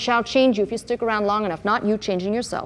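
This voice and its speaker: A woman with an ordinary speaking voice talks at a fairly high pitch with fairly even intonation. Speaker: pastor. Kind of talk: sermon to a live congregation.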